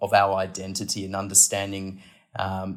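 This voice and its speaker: A man speaks with an Australian accent at a fairly low pitch. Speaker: podcast guest, aviation policy analyst. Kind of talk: interview.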